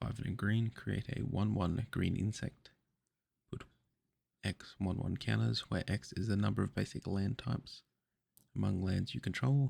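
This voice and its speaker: A soft-spoken man talks at a moderate pace with vocal fry. He leaves long, frequent pauses. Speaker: trading card unboxer. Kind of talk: ASMR card opening.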